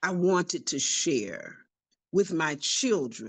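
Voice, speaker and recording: A woman talks at a very slow pace with vocal fry and a medium pitch. Her pitch swings very widely, against a quiet background. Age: 80s+. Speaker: nonprofit founder and author. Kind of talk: interview testimony.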